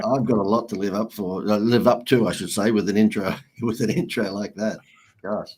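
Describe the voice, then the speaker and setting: Fairly quick and fairly even in intonation, a man with a fairly low pitch speaks with an Australian accent. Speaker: marketing consultant and author. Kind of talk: interview.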